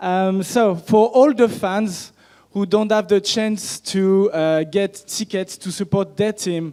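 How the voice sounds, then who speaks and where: Very slowly and in a French accent, a man talks in a high voice with a dark, mellow tone and ordinary pitch variation. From France. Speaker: startup founder pitching. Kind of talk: startup pitch. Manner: halting.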